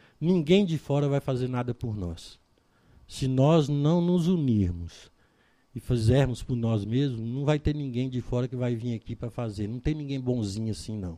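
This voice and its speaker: Against a quiet background, a man with a dark, mellow tone and medium pitch speaks at a moderate pace with lively intonation. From Brazil, Goiás (Chapada dos Veadeiros). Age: 60s. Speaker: local politician. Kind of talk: interview.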